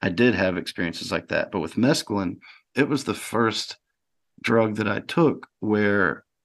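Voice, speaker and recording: Someone speaks with a Southern US accent over a quiet background. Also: man. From US South, rural Mississippi. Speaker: author and practicing alchemist. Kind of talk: podcast interview. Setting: remote call.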